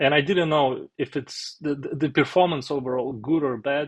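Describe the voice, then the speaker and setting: A man speaks with a strong Russian accent. His pitch varies in an ordinary way against a quiet background. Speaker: software developer, finance vlogger. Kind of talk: tutorial. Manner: halting, many fillers.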